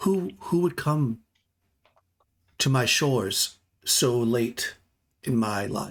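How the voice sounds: Pitched low-to-middle, a put-on character voice moves at a very slow pace with long, frequent pauses on a very clean recording with a silent background.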